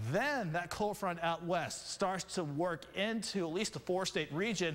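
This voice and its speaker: This man has a high pitch with ordinary pitch variation. He speaks at a fairly slow pace. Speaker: TV meteorologist. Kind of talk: TV weather forecast.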